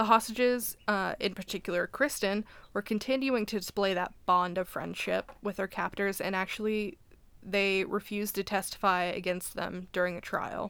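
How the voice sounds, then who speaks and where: On a very clean recording with a silent background, a woman talks in a normal speaking voice at a moderate pace with fairly even intonation. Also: medium pitch for a woman. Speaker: podcast co-host. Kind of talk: casual chat, reading aloud.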